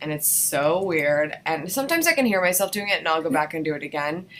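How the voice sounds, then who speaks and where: Noticeable background noise behind a woman speaking in a fairly low register. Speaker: vlogging course instructor. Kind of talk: tutorial. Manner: loud. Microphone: laptop mic.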